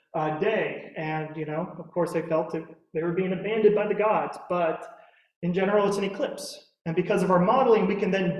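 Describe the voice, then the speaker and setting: There's audible room echo as a man with an American accent and a high pitch talks at a moderate pace with fairly even intonation. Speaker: physics instructor. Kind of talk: lecture. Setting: lecture room with audience, also streamed on Zoom.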